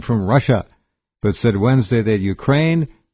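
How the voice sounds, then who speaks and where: A man speaks in a normal speaking voice at a medium pitch, his intonation lively, against a quiet background. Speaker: radio talk show host. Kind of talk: radio talk show hosting.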